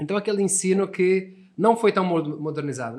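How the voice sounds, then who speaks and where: This man speaks with lively intonation. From Portugal. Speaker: English teacher. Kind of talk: podcast interview.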